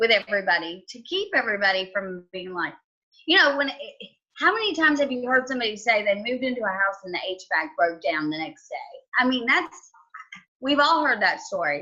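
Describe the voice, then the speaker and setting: A woman's fairly high voice in a strong Southern US accent, with very wide pitch swings and a fairly quick pace. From US South, Georgia. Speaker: home inspector. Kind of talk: podcast interview.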